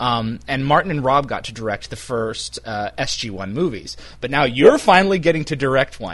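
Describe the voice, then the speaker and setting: A man's voice, marked by vocal fry, swings very widely in pitch at a moderate pace. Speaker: interviewer for fan website. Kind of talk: casual phone interview.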